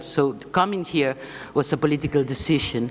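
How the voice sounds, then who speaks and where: Noticeable background noise surrounds a woman speaking at a fairly quick pace. Her pitch is very deep and low. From Spain. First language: Spanish. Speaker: left-wing political foundation leader. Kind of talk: conference speech.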